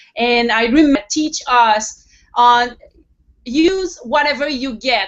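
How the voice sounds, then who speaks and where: The speaker has a French accent. Pitch variation is ordinary. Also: woman. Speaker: web TV host. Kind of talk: interview.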